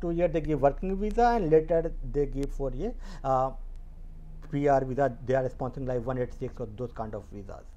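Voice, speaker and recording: Male speech, delivered at a moderate speed. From India. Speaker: YouTuber and medical scientist. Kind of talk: informational video talk. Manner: halting with many fillers. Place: home room. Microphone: earbuds.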